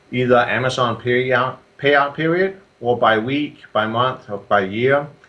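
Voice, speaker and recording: Speaking with a Danish accent, a man uses a medium pitch with ordinary variation. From Denmark. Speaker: software entrepreneur and Amazon seller. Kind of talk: interview. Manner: halting with many fillers.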